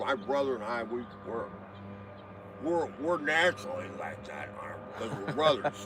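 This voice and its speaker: Medium-pitched male speech at a moderate pace, big swings in loudness, long, frequent pauses, and noticeable background noise. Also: lively intonation. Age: 60s. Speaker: retired truck driver. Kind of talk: casual chat.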